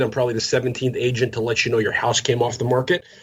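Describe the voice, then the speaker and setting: A man's medium-pitched voice at a very fast pace, with noticeable background noise. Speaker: real estate agent and cold-calling trainer. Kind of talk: podcast interview with live sales-call role play. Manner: fast-talking.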